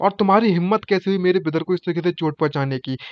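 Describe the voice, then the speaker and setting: In a high pitch, a man speaks with ordinary pitch variation. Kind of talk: casual anime recap narration in Hindi.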